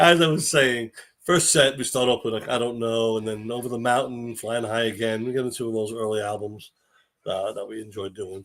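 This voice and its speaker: Over a very clean recording with a silent background, a man speaks at a fairly quick pace. He has an unremarkable speaking voice at a medium pitch. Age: 60s. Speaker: tribute band singer. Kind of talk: casual chat.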